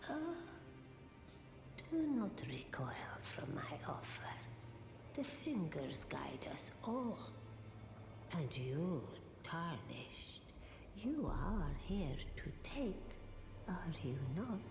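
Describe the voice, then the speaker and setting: Whispering in a put-on character voice, the speaker goes very slowly with long, frequent pauses, over loud background noise with a slight echo. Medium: machinima. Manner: measured, cryptic.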